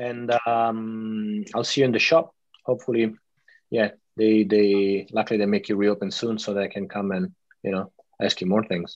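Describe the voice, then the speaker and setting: A man's fairly low-pitched, unremarkable speaking voice with fairly even intonation. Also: moderate pace. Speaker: artist and interviewer. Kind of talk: interview. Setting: video call.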